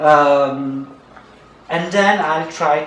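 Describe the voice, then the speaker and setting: Speech comes in a non-native accent with fairly even intonation. Noticeable background noise and audible room echo are present. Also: man. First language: Italian. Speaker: archaeologist. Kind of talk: conference talk. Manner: halting, many fillers.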